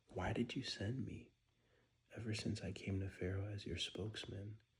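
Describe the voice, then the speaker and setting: Someone whispers quietly at a moderate pace. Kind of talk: Bible reading. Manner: whispered, quiet.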